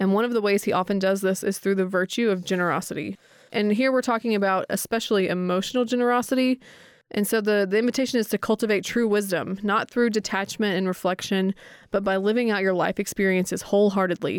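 On a very clean recording with a silent background and a dry, close sound with no echo, a woman speaks at a very fast pace at medium pitch, with fairly even intonation and very even loudness. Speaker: podcast co-host. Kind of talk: casual interview chat.

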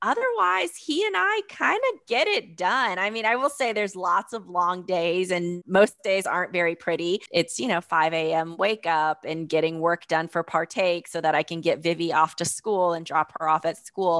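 An unremarkable speaking voice from a woman with an American accent, fairly low in pitch with ordinary variation, at a moderate pace with hardly any pauses, in a dry, close sound with no echo. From US South, North Carolina. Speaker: food company founder. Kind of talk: interview.

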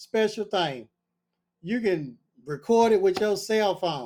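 A man with a high pitch, at a fairly slow pace. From US South, Nashville, Tennessee. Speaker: entrepreneur and barber educator. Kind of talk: casual interview storytelling. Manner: animated.

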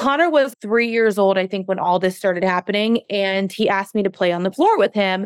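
A woman with a plain, everyday voice talks at a fairly quick pace and medium pitch, with ordinary pitch variation and a dry, close sound with no echo. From US, Mexican-American family. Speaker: fitness trainer and coach. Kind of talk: interview conversation.

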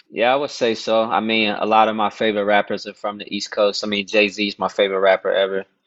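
The speaker has an American accent and a monotone, flat intonation. The delivery is very fast, with hardly any pauses. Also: man, fairly low pitch for a man. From Dallas, Texas. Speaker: rapper. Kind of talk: casual interview.

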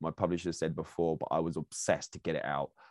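A man with an English accent at a fairly quick pace, dry, close sound with no echo, quiet background. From England. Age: 40s. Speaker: podcast host and speaking coach. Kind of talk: casual monologue. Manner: halting.

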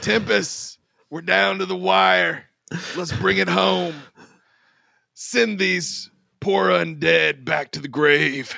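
A raspy, put-on character voice from a man, fairly low in pitch, at a very slow pace. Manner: solemn, resolute, heroic.

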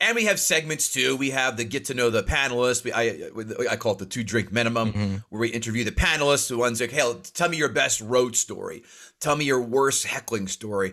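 His pitch sits in the medium range with ordinary variation. The man has an American accent. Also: fairly quick pace. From North Jersey. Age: 40s. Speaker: comedian and podcaster. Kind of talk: casual chat. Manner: fast talker.

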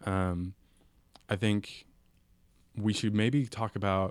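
In a Californian accent, a man talks at a very slow pace with a fairly low pitch and monotone, flat intonation. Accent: Californian American. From San Francisco Bay Area, San Mateo peninsula. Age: 20s. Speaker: radio co-host, urban planning student. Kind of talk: casual radio discussion. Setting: radio studio.

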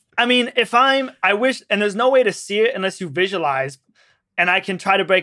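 On a very clean recording with a silent background, a man uses a raised, projected voice, high in pitch with a bright, sharp tone, lively intonation and a fairly quick pace. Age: 20s. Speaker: singer-songwriter. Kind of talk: casual chat.

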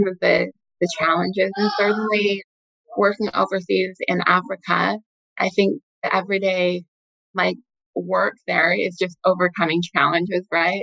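In an American accent, a woman speaks at a medium pitch and a moderate pace with flat, monotone intonation, very even loudness and a dry, close sound with no echo. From Utah, US. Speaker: investment director. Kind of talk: interview.

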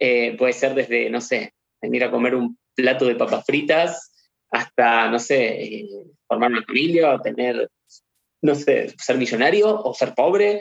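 With a Rioplatense accent, a man speaks at a fairly slow pace with lively intonation. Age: 30s. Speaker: medium, spiritual channeler. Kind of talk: interview.

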